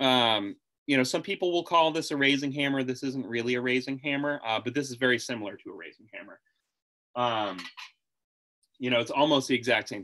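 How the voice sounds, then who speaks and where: Bright and sharp in tone, the voice moves at a fairly quick pace with ordinary pitch variation, big swings in loudness and long, frequent pauses. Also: man, medium pitch for a man. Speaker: blacksmith and metalworking instructor. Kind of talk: online tutorial. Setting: video call. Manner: loud in person.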